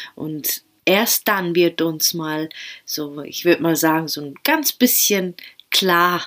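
The voice has a gentle, soothing tone and moves at a very slow pace. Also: woman. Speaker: podcast host and meditation guide. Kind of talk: guided meditation, calm and spoken directly to the listener in du-form. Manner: slow, soothing, soft-spoken with long pauses; gentle, intimate, encouraging.

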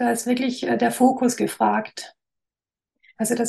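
The speaker has a slight Swabian accent and keeps a moderate pace. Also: woman. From Swabia, near Stuttgart (Esslingen area). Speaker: graphic designer. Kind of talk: interview.

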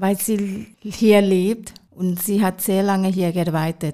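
A woman at a very slow pace, medium pitch and fairly even intonation, in a dark, mellow tone with a Thai accent. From Thailand, Bangkok. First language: Thai (speaking German). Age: 40s. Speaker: hospital kitchen cook. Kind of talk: interview.

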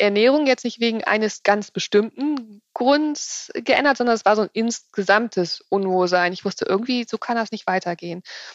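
An unremarkable speaking voice moves at a moderate pace with ordinary pitch variation. The sound is dry and close, with no echo. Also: woman. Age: 40s. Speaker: nutrition consultant and author. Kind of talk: interview.

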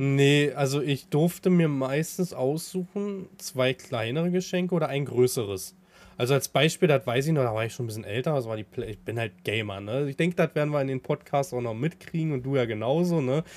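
A man with a fairly high pitch and lively intonation talks at a fairly quick pace with hardly any pauses, in an ordinary speaking voice. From Brandenburg, Havelland. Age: 30s. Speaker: farmer and streamer. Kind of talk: casual chat.

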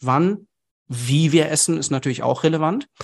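In a quiet background with a dry, close sound and no echo, a man uses a normal speaking voice, fairly high in pitch, with ordinary pitch variation at a moderate pace. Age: 30s. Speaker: nutrition expert and company founder. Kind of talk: podcast interview.

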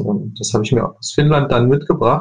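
An unremarkable speaking voice from a man, at a moderate pace. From Leipzig, eastern Germany. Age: 20s. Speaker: furniture designer. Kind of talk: interview.

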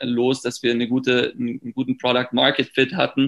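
A man's voice sits at a medium pitch. He talks at a moderate pace. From Germany. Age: 30s. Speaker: startup founder. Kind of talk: interview. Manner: hesitant with many fillers.

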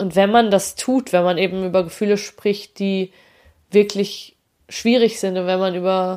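A woman's medium-pitched voice, very cleanly recorded against a silent background. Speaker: podcast host. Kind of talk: solo podcast monologue.

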